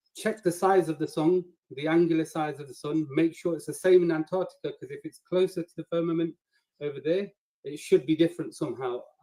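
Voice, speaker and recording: A dark, mellow voice with a Nottingham accent at a fairly quick pace, fairly even in intonation, big swings in loudness, dry and close with no echo. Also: man, high pitch for a man. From England, Nottingham. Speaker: flat earth debater and applicant. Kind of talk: video call application pitch.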